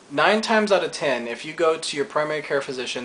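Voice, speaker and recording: A man speaks against noticeable background noise. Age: 20s. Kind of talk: casual talk to camera.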